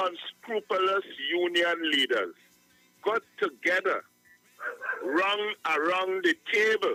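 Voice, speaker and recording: A man's high-pitched, raised and projected voice at a very slow pace, with ordinary pitch variation, a dry, close sound with no echo, and music in the background. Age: 70s. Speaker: caller. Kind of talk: call-in radio talk.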